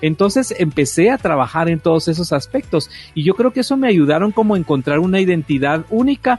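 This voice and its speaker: Music in the background under a man's energetic, fairly quick speech with lively intonation. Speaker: radio host. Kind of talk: casual chat. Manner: energetic, forceful.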